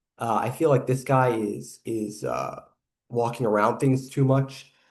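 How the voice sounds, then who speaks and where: A somewhat breathy man's voice at a medium pitch. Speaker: YouTube reaction commentator. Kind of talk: reaction video commentary. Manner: hesitant with filler words.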